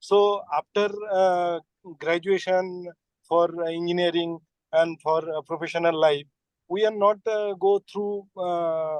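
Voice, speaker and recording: In a Bengali accent, a man speaks very slowly in a high, monotone voice with flat intonation and a dry, close sound with no echo. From West Bengal, India. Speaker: engineer and student. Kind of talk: audience question. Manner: halting.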